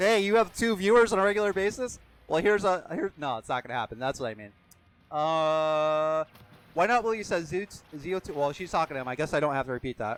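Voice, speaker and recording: Loud and at a very fast pace, a man with an American accent speaks in a fairly high voice with very wide pitch swings. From Pennsylvania, US. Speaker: game streamer. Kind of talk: live gaming stream chat. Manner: animated.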